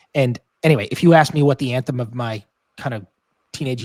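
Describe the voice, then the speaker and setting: This man has a plain, everyday voice at medium pitch, moving at a fairly quick pace with ordinary pitch variation. The recording is very clean and silent behind him, with a dry, close sound and no echo. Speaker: music podcast panelist. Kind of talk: casual album review discussion.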